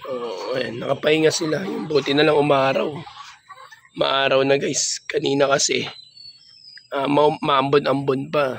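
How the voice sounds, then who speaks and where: Amid noticeable background noise, the speech runs at a fairly slow pace with fairly even intonation and long, frequent pauses. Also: man. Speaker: pigeon breeder vlogger. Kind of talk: casual vlog tour.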